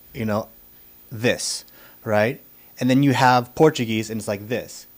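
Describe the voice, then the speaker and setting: This is an ordinary speaking voice, a man with an American accent and a medium pitch. He talks at a fairly slow pace with fairly even intonation. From United States. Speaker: podcast host. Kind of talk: interview.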